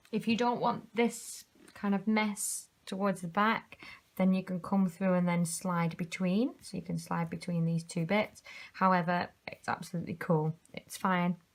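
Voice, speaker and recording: A quiet, somewhat breathy woman's voice in a British accent, fairly slow and fairly even in intonation, on a very clean recording with a silent background. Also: medium pitch for a woman. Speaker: craft tutor. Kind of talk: tutorial. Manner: quiet while concentrating; casual.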